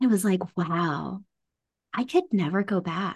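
Over a quiet background, a woman with an unremarkable speaking voice talks at a moderate pace with lively intonation. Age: 40s. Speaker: embodiment coach. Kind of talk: casual chat.

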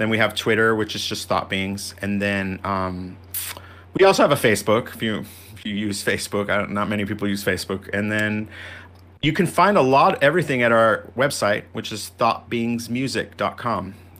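A bright, sharp tone at a moderate pace with ordinary pitch variation, in a very clean recording with a silent background. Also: man, fairly low pitch for a man. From Venezuelan-born, raised in US from age three. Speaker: musician. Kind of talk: interview.

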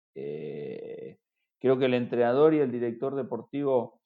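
Lively intonation runs through this man's speech. His pitch is medium. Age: 50s. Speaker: football sporting director and former player. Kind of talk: interview conversation. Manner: halting, many repeated words.

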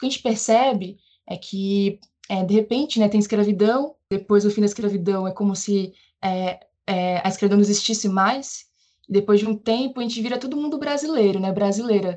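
Woman with a dark, mellow tone at medium pitch, moderate pace and ordinary pitch variation. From Brazil, Bahia (Northeast). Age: 30s. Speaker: geographer and teacher. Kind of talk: interview.

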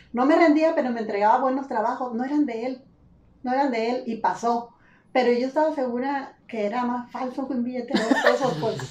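A woman at a high pitch, fairly even intonation and a fairly quick pace, with noticeable background noise. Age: 50s. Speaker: retired literature teacher. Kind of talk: casual chat.

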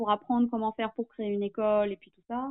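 Fairly high-pitched woman with fairly even intonation. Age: 30s. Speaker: relationship facilitator. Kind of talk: interview testimony. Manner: hesitant, many filler words.

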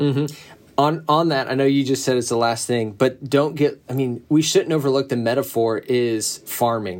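A man of medium pitch with an American accent, a plain, everyday voice, fairly even intonation, a moderate pace and hardly any pauses. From US South. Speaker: pastor. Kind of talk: casual chat. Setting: video call.

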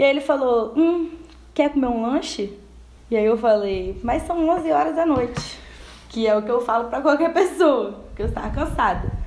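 Very wide pitch swings at a moderate pace, with audible room echo. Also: woman, high pitch for a woman. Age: 20s. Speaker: podcast host. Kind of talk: casual chat. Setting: at home.

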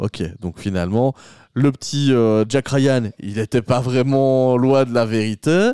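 Very slowly, a man speaks at medium pitch with a dark, mellow tone and ordinary pitch variation, the sound dry and close with no echo. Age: 30s. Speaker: podcast host. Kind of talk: casual chat. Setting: at home, doors open.

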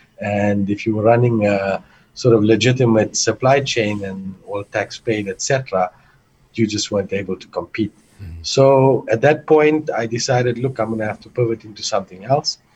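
Somewhat breathy and at medium pitch, a man talks at a moderate pace with ordinary pitch variation and big swings in loudness. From South Africa (Johannesburg). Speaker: entrepreneur and investor. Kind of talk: casual interview.

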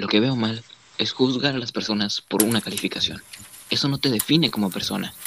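Noticeable background noise surrounds a man speaking at a fairly quick pace. His pitch is medium, with ordinary variation. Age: 20s. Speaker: student. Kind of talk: casual chat. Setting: video call.

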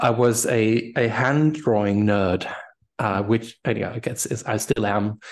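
A man with a German accent speaks at a fairly slow pace, his medium-pitched voice following a fairly even intonation. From Germany. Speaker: type designer. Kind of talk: interview. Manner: halting.

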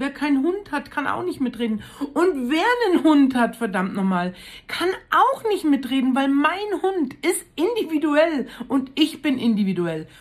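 At a fairly slow pace, a woman with a high pitch speaks with very wide pitch swings. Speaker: podcaster. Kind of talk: casual monologue. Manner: animated.

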